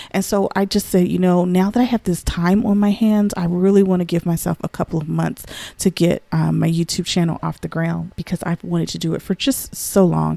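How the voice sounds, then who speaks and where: A woman's fairly low voice at a fairly quick pace, hardly any pauses, fairly even intonation, a dry, close sound with no echo and noticeable background noise. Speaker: lifestyle and DIY vlogger. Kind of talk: casual chat. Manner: talkative.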